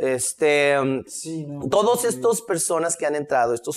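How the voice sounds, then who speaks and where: This man has a plain, everyday voice pitched fairly high. His intonation is lively. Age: 50s. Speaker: history lecturer. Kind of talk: casual chat.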